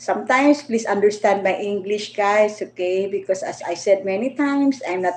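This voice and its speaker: A woman speaks fairly slowly at a fairly high pitch. Her intonation is lively. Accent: Filipino. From Philippines. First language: Filipino languages (Tagalog, Bisaya, Ilonggo). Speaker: vlogger. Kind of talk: livestream monologue. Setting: livestream. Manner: halting.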